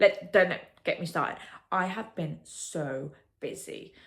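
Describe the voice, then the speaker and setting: A woman with an English accent talks in a fairly low pitch. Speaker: vlogger and potter. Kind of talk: casual vlog talk. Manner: animated.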